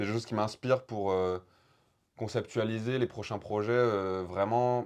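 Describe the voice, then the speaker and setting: The background is quiet as a man speaks at a moderate speed, his intonation fairly even. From France, Haute-Loire (Chambon-sur-Lignon). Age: 20s. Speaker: rapper and poet. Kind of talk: interview. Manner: halting.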